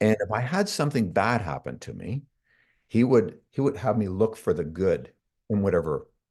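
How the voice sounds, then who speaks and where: In a Canadian accent, a man speaks at a fairly low pitch with vocal fry and lively intonation. His pace is moderate, and the background is quiet. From Canada. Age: 60s. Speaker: self-development coach. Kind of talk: interview.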